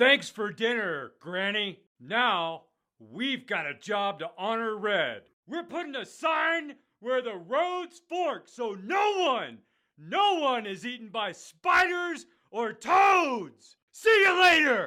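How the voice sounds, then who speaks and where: A man does a cartoonish character voice at an extremely high pitch with very wide pitch swings. He goes at a very slow pace on a very clean recording with a silent background. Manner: casual, folksy.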